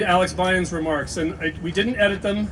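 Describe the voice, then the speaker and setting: A man's fairly even intonation over noticeable background noise. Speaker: college dean. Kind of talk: ceremony speech. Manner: fast.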